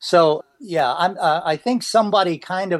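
The man's voice is high-pitched, and the sound is dry and close with no echo. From US, Pennsylvania (near Gettysburg). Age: 60s. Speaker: retired government intelligence worker in recovery. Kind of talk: interview testimony. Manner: halting, many fillers and repetitions.

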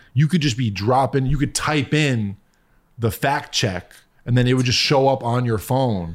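A man with an American accent talks at a moderate pace and medium pitch, in a normal speaking voice with ordinary pitch variation. His loudness stays very even on a very clean recording with a silent background. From US Northeast, Connecticut. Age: 30s. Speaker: music producer. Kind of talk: casual chat.

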